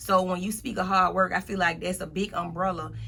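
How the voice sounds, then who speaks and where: Music plays in the background as a woman with a medium pitch speaks at a moderate pace. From US South. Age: 30s. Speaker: motivational speaker. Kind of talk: interview. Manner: casual.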